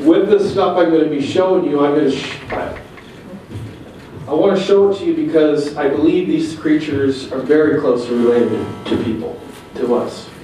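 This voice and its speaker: A man with a fairly high pitch talks at a moderate pace, pausing long and often, with noticeable background noise and audible room echo. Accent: American. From US Pacific Northwest. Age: 50s. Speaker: Bigfoot researcher. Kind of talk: presentation. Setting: museum hall with audience. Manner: loud.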